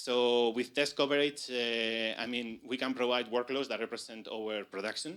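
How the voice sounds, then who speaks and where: Bright and sharp in tone, a man's medium-pitched voice moves at a moderate pace with fairly even intonation. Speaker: conference speaker, hardware engineer. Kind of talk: conference talk. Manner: halting, many fillers.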